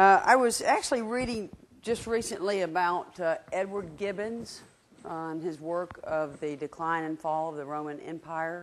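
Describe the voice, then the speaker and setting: A woman with a Southern US accent speaks at a fairly low pitch, her loudness swinging widely. The recording is very clean, with a silent background. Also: ordinary pitch variation, moderate pace. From Georgia, US South. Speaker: market research director, guest speaker. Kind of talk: lecture. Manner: conversational, interactive.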